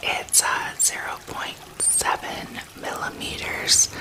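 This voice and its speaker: A woman is whispering. There is noticeable background noise behind her. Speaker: ASMR creator and healing bracelet maker. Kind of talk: ASMR whispered talk to camera while crafting. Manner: whispered, soft-spoken.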